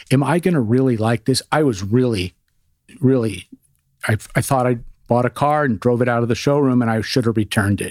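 Dry and close with no echo, a man talks in an ordinary speaking voice at a medium pitch, with ordinary pitch variation and a fairly quick pace. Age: 60s. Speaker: radiologist. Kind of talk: casual chat.

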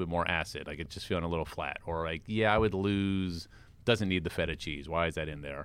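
A man with an American accent speaks at a fairly quick pace in a very deep, low voice, recorded very cleanly against a silent background. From US, Washington DC. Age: 40s. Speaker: food magazine editor. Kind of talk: casual chat. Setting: studio.

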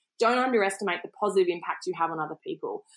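With an Australian accent, a woman is talking. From Australia, Queensland. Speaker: entrepreneur and former foreign correspondent. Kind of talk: interview. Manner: hesitant fillers.

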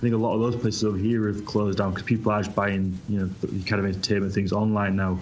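A man with a British accent, very fast, fairly low-pitched and flat in intonation, with audible room echo. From Britain. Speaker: comic book creator. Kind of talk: casual chat.

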